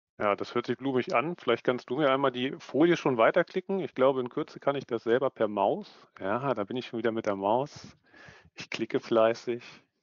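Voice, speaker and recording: A man speaks at a moderate pace with ordinary pitch variation. The sound is dry with no echo over a quiet background. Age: 30s. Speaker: management consultant, business psychologist. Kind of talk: online conference presentation. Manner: animated. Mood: relaxed, friendly. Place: home room. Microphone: headset.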